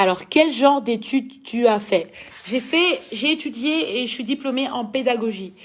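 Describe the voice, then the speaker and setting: A woman with a strong Belgian accent speaks in an animated tone with ordinary pitch variation. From Belgium. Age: 20s. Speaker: dancer and social media personality. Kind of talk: live Q&A reading viewer comments.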